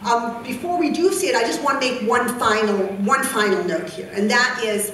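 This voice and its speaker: A woman at a fairly high pitch with lively intonation and a moderate pace, amid noticeable background noise and audible room echo. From Egypt (rural Nile Delta village). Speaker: youth leadership activist. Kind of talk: conference talk. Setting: conference stage with audience.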